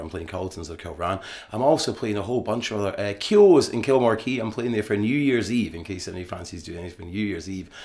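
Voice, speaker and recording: Speech moves at a fairly quick pace with audible room echo. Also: man. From Scotland. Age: 50s. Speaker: musician. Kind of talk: radio interview. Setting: theatre recording for radio.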